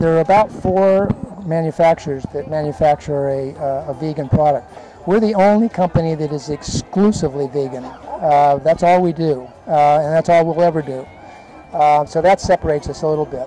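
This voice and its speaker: Amid noticeable background noise, a man talks fairly quickly with a fairly high pitch and ordinary pitch variation. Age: 70s. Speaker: vegan dog food company owner. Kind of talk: interview. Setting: festival booth. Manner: hesitant, many fillers.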